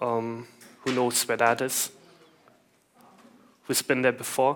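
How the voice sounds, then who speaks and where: Speaking very slowly in a German accent, a man keeps a medium pitch and a monotone, flat intonation. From Germany. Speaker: IT consultant, conference speaker. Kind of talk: conference talk. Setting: stage with audience.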